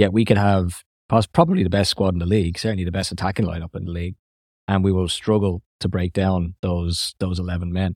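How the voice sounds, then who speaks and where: Very fast speech from a man with an Irish accent, a very deep, low pitch and monotone, flat intonation, in a dry, close sound with no echo. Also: very clean recording, silent background. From Ireland. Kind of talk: casual chat.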